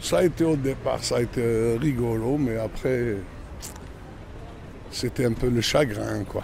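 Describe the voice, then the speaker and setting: The speech moves at a very slow pace with long, frequent pauses and fairly even intonation. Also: man, medium pitch for a man. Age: 60s. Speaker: interviewee in documentary. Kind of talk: personal testimony.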